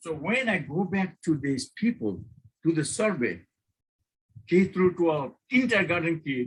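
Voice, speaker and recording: Speaking at a fairly slow pace, a man talks with a non-native accent. His voice is high-pitched, with lively intonation. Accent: noticeable non-native. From Bangladesh. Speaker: professor. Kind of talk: guest lecture. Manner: informal; halting.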